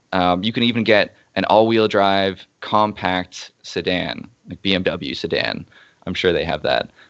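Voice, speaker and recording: The intonation stays fairly even. It is an unremarkable speaking voice. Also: man. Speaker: SEO consultant presenting. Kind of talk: webinar presentation.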